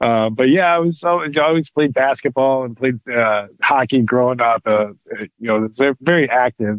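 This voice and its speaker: A man with a Michigan accent speaks at a moderate pace with medium pitch and ordinary pitch variation. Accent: Midwestern American (Michigan). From Michigan, Detroit area. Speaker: pro wrestler and actor. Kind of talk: interview. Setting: podcast. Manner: halting, many fillers.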